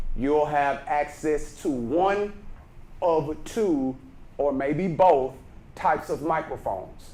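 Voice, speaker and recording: A Texan accent with ordinary pitch variation, plus audible room echo. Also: man. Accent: Texas Southern. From Texas, Brenham. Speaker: speaking coach. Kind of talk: workshop lecture. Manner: naturally loud.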